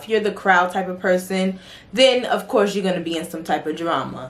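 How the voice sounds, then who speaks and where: Over noticeable background noise, a woman talks at a moderate pace. Her pitch is medium, with ordinary variation. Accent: New York. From New York City. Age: 20s. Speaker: beauty and fragrance vlogger. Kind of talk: casual Q&A vlog. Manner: animated, conversational.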